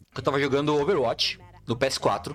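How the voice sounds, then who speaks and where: A man talks while music plays in the background. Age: 30s. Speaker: content creator. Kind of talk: casual chat.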